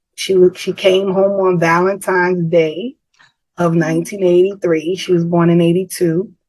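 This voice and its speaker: A woman talks at a fairly slow pace with a medium pitch. Her intonation stays fairly even. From New York City (the Bronx). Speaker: author and guest speaker. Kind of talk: interview testimony.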